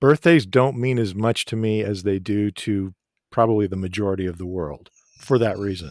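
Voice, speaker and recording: A man with a plain, everyday voice and an American accent speaks fairly quickly at a fairly low pitch with ordinary pitch variation, in a very clean recording with a silent background. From United States. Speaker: actor. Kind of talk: interview.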